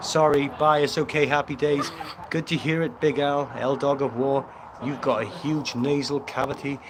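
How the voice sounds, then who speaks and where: A man's fairly high-pitched voice in a Welsh accent at a moderate pace, amid noticeable background noise. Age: 50s. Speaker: fitness trainer, livestream host. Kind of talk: casual livestream chat. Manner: animated.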